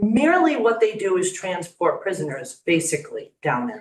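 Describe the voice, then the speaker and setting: A woman speaks with a Long Island accent. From Long Island, New York. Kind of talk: public comment speech. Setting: county legislature meeting room.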